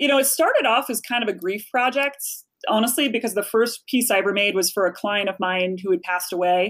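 A woman with an American accent speaks fairly quickly in an unremarkable speaking voice, her pitch fairly high. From Chicago. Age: 40s. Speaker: author and speaker. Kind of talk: casual interview chat.

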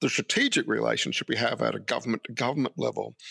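Speaking very fast with an Australian accent, a man is heard on a very clean recording against a silent background. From Brisbane, Australia. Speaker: professor. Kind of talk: interview.

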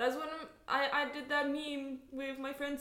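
Noticeable background noise accompanies a woman who speaks at a fairly slow pace. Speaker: podcast co-host. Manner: animated, joking.

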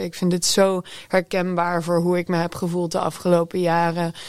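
A woman whose voice sits fairly low talks with a normal speaking voice and a moderate pace. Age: 20s. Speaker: music journalist. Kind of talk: panel discussion. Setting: studio.

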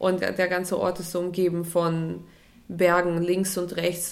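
Audible room echo surrounds the voice. A woman speaks with monotone, flat intonation. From Russia (Moscow). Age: 30s. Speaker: photographer. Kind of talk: interview.

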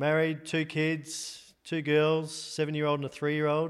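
Recorded very cleanly against a silent background, a man with an Australian accent speaks at a fairly high pitch. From Australia (Sydney). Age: 40s. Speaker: golf caddy. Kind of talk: casual interview. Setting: in a house.

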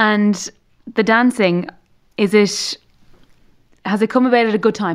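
With an Irish accent, a woman speaks at a fairly slow pace and a fairly high pitch, with fairly even intonation and long, frequent pauses. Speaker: podcast host. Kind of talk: casual interview. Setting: studio.

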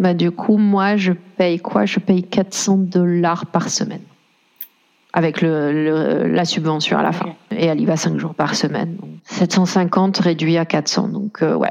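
Speaking at a very slow pace, a woman keeps her intonation fairly even. Her pitch sits fairly low. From France. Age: 30s. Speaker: single mother. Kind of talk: personal testimony interview.

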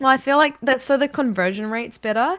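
A woman speaks with a slight New Zealand accent and a bright, sharp tone. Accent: mild New Zealand. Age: 20s. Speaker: video game streamer. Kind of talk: casual chat. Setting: video call.

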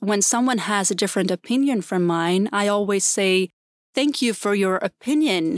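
In a very clean recording with a silent background and a dry, close sound with no echo, a woman with a Swedish accent speaks at a medium pitch with ordinary pitch variation. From Sweden, Gotland. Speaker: entrepreneur, former political communicator. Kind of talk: interview conversation.

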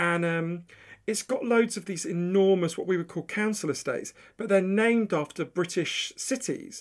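A man with a London accent speaks at a high pitch with ordinary pitch variation. The recording is very clean, the background silent. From London, England (Edgware). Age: 40s. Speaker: author and journalist. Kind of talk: casual interview chat.

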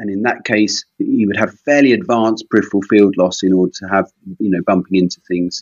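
This man has an unremarkable speaking voice with a fairly low pitch. He talks at a fairly quick pace with fairly even intonation. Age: 50s. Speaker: consultant eye surgeon. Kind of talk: teaching interview.

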